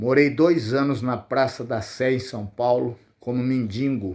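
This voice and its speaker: On a very clean recording with a silent background, a man at a medium pitch speaks at a very slow pace with fairly even intonation. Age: 70s. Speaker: YouTuber sharing life story. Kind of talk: personal testimony.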